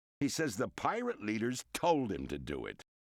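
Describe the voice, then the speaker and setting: A man does a put-on character voice at a moderate pace, with a dry, close sound and no echo. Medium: video game. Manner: menacing, sarcastic.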